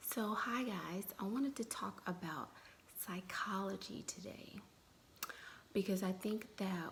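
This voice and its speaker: A soft-spoken woman talks at a very slow pace with ordinary pitch variation. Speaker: dating advice vlogger. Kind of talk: casual live stream chat. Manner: soft-spoken, low and muted; chatty, loose.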